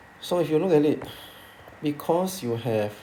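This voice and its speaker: With audible room echo, a man speaks in a lively intonation. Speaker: math teacher. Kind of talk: tutorial.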